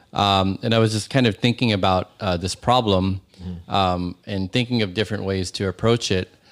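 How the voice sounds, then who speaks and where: In a Californian accent, a man talks at a moderate pace with hardly any pauses and a fairly low pitch. His intonation is fairly even, and the recording is very clean with a silent background. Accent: Californian American English. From US, San Francisco Bay Area. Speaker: startup co-founder. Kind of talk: casual interview chat.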